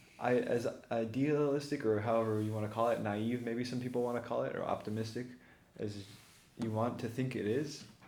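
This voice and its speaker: A man's fairly quick, monotone, flat delivery with audible room echo. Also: medium pitch for a man. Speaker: podcast host. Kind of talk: casual chat. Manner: halting.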